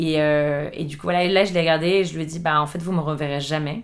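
Fairly low in pitch, a woman talks at a fairly quick pace with monotone, flat intonation. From Paris suburbs, France. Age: 30s. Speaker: chef and entrepreneur. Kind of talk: casual interview.

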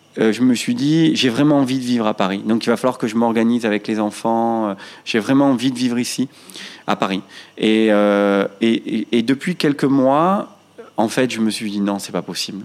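A man with a medium pitch talks at a moderate speed, his pitch varying in an ordinary way. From Marseille, France. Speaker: restaurant chain founder. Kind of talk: interview conversation. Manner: hesitant, many fillers and repetitions.

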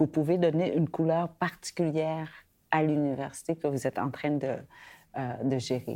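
On a very clean recording with a silent background, the voice has a dark, mellow tone, fairly even intonation and a moderate pace. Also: woman. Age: 50s. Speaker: podcast host. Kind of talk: interview.

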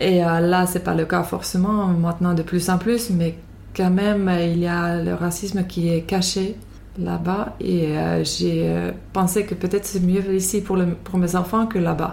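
Over noticeable background noise, a woman with a Finnish accent speaks fairly slowly in a fairly low voice, with very even loudness and monotone, flat intonation. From Finland. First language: Finnish (speaking French). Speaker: immigrant interviewee. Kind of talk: interview. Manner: halting.

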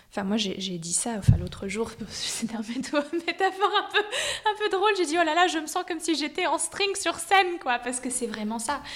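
A high-pitched woman with very wide pitch swings, at a fairly slow pace with hardly any pauses, over noticeable background noise. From US (New York, Miami). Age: 20s. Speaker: opera soprano. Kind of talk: interview. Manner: halting.

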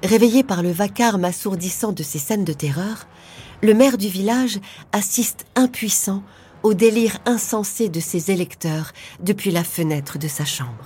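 A woman speaks at a fairly slow pace in a medium pitch, her voice somewhat breathy with a dark, mellow tone and a dramatic delivery. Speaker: podcast narrator. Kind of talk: true-crime narration. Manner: suspenseful, hushed, dramatic; measured, slow-paced storytelling.

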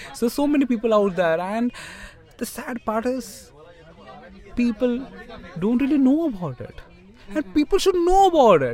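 Crowd noise fills the background as a man speaks at a moderate pace with long, frequent pauses. His pitch is extremely high and swings very widely. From India, Mumbai. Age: 20s. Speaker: doctor and writer. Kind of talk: casual interview conversation.

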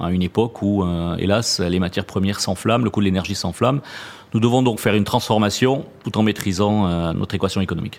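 This man talks at a very fast pace in a southwestern French accent. His pitch is fairly low, with fairly even intonation. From southwest France, Toulouse region. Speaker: purchasing director. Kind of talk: interview.

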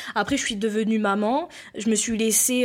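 Recorded very cleanly against a silent background, a woman uses a plain, everyday voice, speaking at a fairly slow pace with fairly even intonation. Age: 20s. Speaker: entrepreneur. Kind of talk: casual interview.

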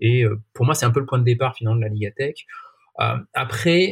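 A somewhat breathy, medium-pitched male voice. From France, Marseille. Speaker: sports tech sales executive. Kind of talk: podcast interview. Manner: halting, many fillers.

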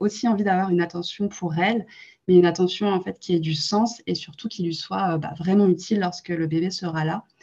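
Her dark, mellow tone sits at a fairly low pitch, and the woman keeps a moderate pace with fairly even intonation. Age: 20s. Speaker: entrepreneur, co-founder of a postpartum gift brand. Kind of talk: interview. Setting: podcast recording.

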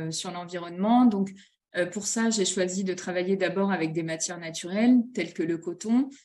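With fairly even intonation, a woman speaks in a medium pitch. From northern France (Nord-Pas-de-Calais). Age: 30s. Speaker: children's clothing brand founder. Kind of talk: interview. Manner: hesitant, many fillers.

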